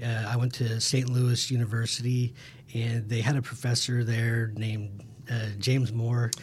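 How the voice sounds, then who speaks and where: This man has a Midwestern American accent and a somewhat breathy voice. His intonation is monotone and flat, and his loudness stays very even. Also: medium pitch for a man, moderate pace. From Kansas (Emporia). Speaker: hydrologist. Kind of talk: casual interview.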